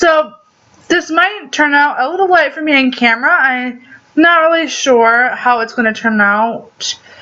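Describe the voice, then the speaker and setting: A woman projects her voice loudly at a high pitch. Noticeable background noise can be heard. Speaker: beauty vlogger. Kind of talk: makeup tutorial. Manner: casual, with many fillers.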